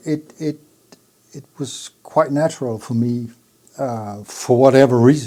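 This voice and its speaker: Here a man with a Danish accent speaks very slowly at a medium pitch, his tone dark and mellow. His intonation stays fairly even while his loudness swings widely, with long, frequent pauses. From Jutland, Denmark. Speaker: audio equipment designer, company founder. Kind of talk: interview. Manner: hesitant, with fillers and restarts.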